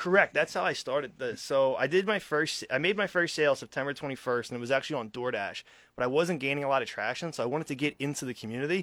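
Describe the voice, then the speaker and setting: A man talks very fast with a slight Philadelphia accent and a bright, sharp tone. The recording is very clean, with a silent background. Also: fairly high pitch for a man, ordinary pitch variation. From Philadelphia area, US. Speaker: restaurant owner, military veteran. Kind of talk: radio interview.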